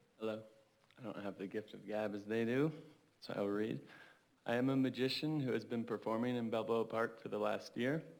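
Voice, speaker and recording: A man talks at a fairly quick pace with a medium pitch. The intonation is fairly even. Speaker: street magician. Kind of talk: reading prepared statement. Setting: city council meeting.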